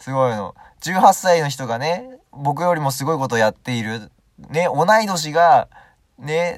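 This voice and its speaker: Here a man talks with a fairly high pitch and ordinary pitch variation. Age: 20s. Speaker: solo podcaster. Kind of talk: casual monologue. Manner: halting.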